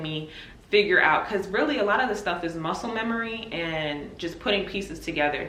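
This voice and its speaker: A woman with a fairly low pitch speaks at a fairly quick pace. There is noticeable background noise and audible room echo. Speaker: nurse. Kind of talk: casual vlog.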